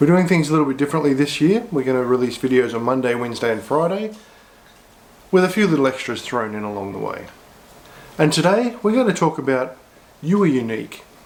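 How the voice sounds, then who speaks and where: Speaking with an Australian accent, a man with a fairly high pitch goes at a very fast pace. His pitch swings very widely, and he takes long, frequent pauses. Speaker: pastor. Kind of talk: short devotional sermon to camera.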